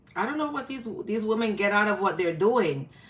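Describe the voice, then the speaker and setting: In a New York accent, a woman with a medium-pitched voice speaks in an animated tone with lively intonation. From New York, the Bronx. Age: 50s. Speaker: live-stream host. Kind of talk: casual live-stream chat. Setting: live stream.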